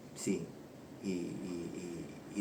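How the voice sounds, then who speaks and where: A man with an Argentine accent, amid audible room echo and noticeable background noise. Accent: Rioplatense Argentine Spanish. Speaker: former addict turned recovery counselor. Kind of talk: personal testimony. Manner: halting, many repetitions and fillers.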